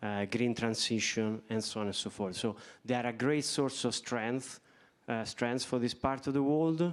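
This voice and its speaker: On a very clean recording with a silent background, a man speaks in an Italian accent. His pitch is medium, with ordinary variation, at a moderate pace. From Italy. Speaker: bank executive. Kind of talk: panel discussion.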